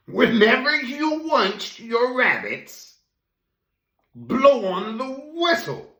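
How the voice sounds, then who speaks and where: A man's put-on character voice, extremely high in pitch, very slow, with audible echo. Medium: read story.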